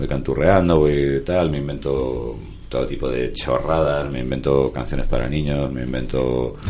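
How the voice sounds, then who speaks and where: A man's very deep, low voice at a fairly slow pace, with fairly even intonation, audible room echo and noticeable background noise. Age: 40s. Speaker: musician and writer. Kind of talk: interview.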